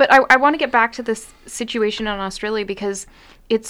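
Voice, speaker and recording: Speaking at a fairly quick pace, this is a normal speaking voice with ordinary pitch variation. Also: woman. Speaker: lawyer and podcast host. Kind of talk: casual chat.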